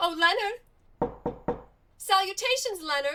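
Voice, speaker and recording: Her voice is a squeaky, put-on character voice. The woman pitches it extremely high and talks fairly slowly. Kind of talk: retro deadpan comedy. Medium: short film. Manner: chirpy, quaint, old-fashioned.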